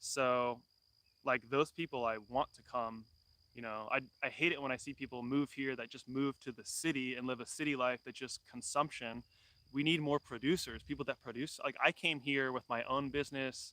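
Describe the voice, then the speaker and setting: With a Californian accent, a man speaks at a moderate pace in a medium pitch with fairly even intonation, a bright, sharp tone and a dry, close sound with no echo. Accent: Californian American. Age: 30s. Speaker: homesteader. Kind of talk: live stream chat. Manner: casual, many fillers.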